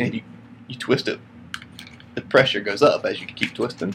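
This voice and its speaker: Fairly quick delivery with an American accent over noticeable background noise. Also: man. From US South. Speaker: podcast co-host. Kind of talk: casual chat.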